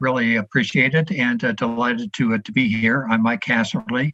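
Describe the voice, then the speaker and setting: A man with a bright, sharp tone at a fairly quick pace. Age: 70s. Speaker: education advocacy executive. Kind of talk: interview. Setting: podcast. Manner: halting, many fillers.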